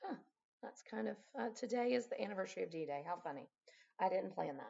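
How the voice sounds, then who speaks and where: A woman speaks with vocal fry. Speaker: math teacher. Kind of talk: casual teaching talk. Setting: at home.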